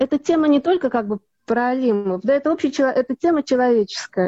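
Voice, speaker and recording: With lively intonation and a high pitch, a woman talks at a moderate pace. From Soviet Union. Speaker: actress. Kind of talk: interview.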